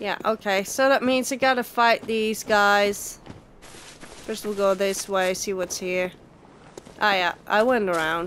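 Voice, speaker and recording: A woman with a medium pitch and ordinary pitch variation talks at a very slow pace. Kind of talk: gameplay commentary. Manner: casual, reactive.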